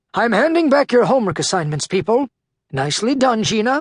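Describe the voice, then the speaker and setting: In a put-on character voice, the speaker moves at a fairly quick pace with very wide pitch swings. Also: man, high pitch for a man. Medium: read story. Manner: formal, measured.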